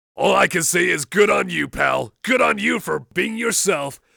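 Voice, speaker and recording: Putting on a character voice, a man sounds gruff and raspy at a moderate pace. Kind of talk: in-game radio DJ dialogue. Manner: outgoing, upbeat.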